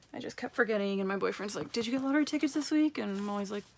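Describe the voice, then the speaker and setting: With a Canadian accent, a woman talks at a medium pitch. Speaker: personal finance vlogger. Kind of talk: casual vlog tutorial. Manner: fast.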